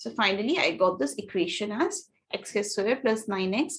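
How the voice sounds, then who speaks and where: A woman speaks at a moderate pace in a medium pitch. Her voice has vocal fry and very wide pitch swings. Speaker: test prep teacher. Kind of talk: online class lecture.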